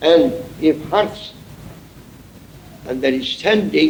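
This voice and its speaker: Very slow speech with lively intonation, audible room echo and noticeable background noise. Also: man. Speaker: Sufi sheikh. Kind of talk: sermon.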